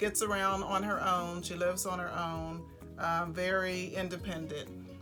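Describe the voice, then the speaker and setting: A woman talks fairly slowly while background music plays. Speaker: interviewer. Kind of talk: casual interview questions.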